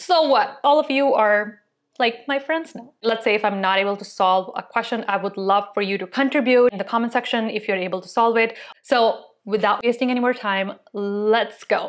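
A woman at a moderate pace with ordinary pitch variation, quiet background. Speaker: tech video creator. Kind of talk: casual vlog chat, then tutorial. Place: home room. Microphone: lapel.

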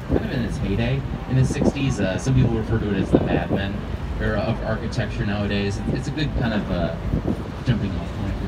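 Loud noise fills the background. Through it, a man speaks at a very fast pace. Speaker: river tour guide. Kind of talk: tour guide commentary. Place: boat.

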